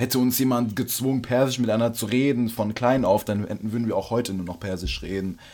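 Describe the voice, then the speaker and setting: A man's dark, mellow voice at medium pitch, fairly quick and with hardly any pauses, its intonation fairly even. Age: young. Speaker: podcast co-host. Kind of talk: casual chat.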